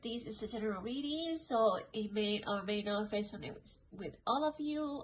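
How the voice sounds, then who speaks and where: The speaker is a woman talking fairly slowly. Her pitch shows ordinary variation. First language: not English. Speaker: tarot card reader. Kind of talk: tarot reading monologue. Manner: casual, filler-heavy.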